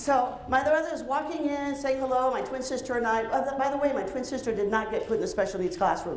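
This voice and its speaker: A woman's high, energetic voice in a Spanish accent, very fast with lively intonation, with audible room echo and noticeable background noise. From Cuba. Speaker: psychologist and keynote speaker. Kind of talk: keynote speech. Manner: vibrant, highly energetic. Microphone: handheld mic picked up after starting without.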